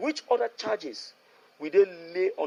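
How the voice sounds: A man speaks at a moderate pace. His voice carries vocal fry.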